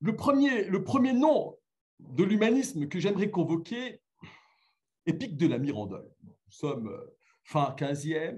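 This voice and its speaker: Speech comes at a very slow pace, broken by long, frequent pauses. Pitch swings very widely and loudness swings a lot. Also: man, high pitch for a man. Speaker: philosophy lecturer. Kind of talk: lecture. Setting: remote video link to conference. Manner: halting, many fillers.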